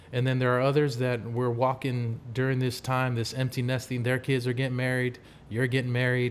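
Monotone, flat intonation at a fairly quick pace. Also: man, medium pitch for a man. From Samoa. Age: 50s. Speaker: singer and performer. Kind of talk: casual chat.

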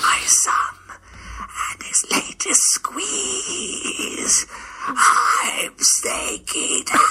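The speaker whispers in a put-on character voice, raspy and hissing. Everything moves at a very slow pace. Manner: snaky.

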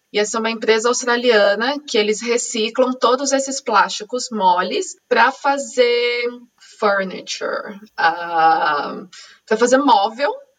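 A woman with a São Paulo accent speaks at a fairly slow pace in a high pitch, with ordinary pitch variation. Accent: Brazilian Portuguese, São Paulo. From Brazil, São Paulo (East Zone). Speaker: podcast host. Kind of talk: casual interview chat.

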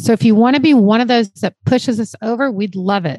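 With a plain, everyday voice, a woman at medium pitch speaks at a moderate pace with lively intonation, recorded dry and close with no echo. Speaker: podcast host. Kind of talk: podcast hosting, reading aloud and interviewing.

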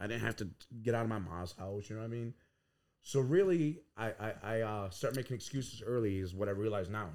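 Here is a man with a normal speaking voice at a medium pitch. His pitch varies in an ordinary way, and his pace is fairly quick. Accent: American. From Tuscarora Nation, New York. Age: 30s. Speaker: podcast founder and entrepreneur. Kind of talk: casual interview, life story.

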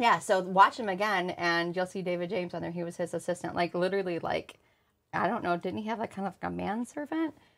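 On a very clean recording with a silent background, a woman of medium pitch speaks at a very fast pace with ordinary pitch variation. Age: 40s. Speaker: podcast co-host, coffee business owner. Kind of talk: casual chat.

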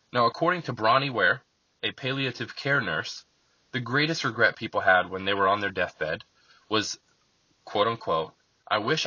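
A man speaks with an American accent in an ordinary speaking voice. His intonation is lively. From central Florida, US. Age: 30s. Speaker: podcast host and author. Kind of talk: reading aloud from own book.

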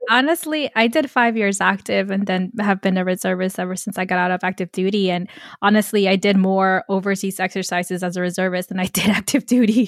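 A woman with a New York accent talks at a fairly quick pace and a medium pitch, with ordinary pitch variation and a dry, close sound with no echo. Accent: New York American. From New York, Queens. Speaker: podcast host, military reservist. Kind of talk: interview.

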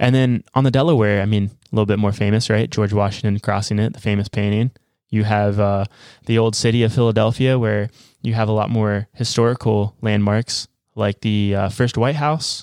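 A man with a normal speaking voice and fairly low pitch talks at a moderate pace, with fairly even intonation and very even loudness, in a very clean recording with a silent background and a dry, close sound with no echo. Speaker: travel podcast co-host. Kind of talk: casual chat.

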